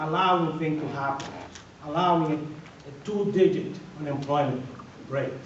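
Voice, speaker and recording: A man with a strong Dominican accent and a fairly high pitch speaks at a moderate pace with fairly even intonation, long, frequent pauses and big swings in loudness, amid audible room echo and noticeable background noise. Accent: heavy Dominican Spanish. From Dominican Republic. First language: Spanish. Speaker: political candidate, civil engineer and educator. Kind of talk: candidate forum speech. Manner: emphatic, repetitive; halting with repeated words.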